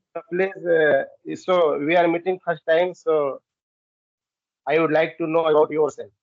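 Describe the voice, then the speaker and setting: A man with an Indian accent talks at a fairly slow pace in a high pitch, his intonation monotone and flat, with long, frequent pauses. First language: Hindi. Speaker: English learner. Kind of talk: casual chat, English practice conversation. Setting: video call on a language app.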